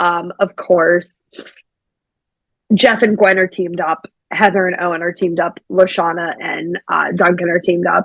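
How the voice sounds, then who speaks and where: A plain, everyday voice: a woman at medium pitch with an American accent, moderate pace, and dry, close sound with no echo. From Pittsburgh, Pennsylvania. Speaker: podcast host. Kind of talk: casual podcast conversation.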